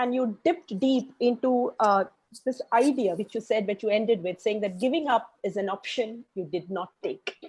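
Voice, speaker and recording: Some breathiness runs through the voice. Its tone is dark and mellow. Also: woman. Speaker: dancer and interview host. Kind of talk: interview.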